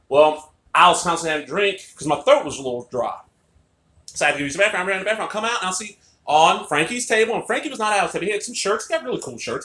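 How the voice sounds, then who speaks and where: A man speaks in a raised, projected voice at a very fast pace. His tone is animated. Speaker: wrestling fan vlogger. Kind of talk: casual vlog monologue. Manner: loud.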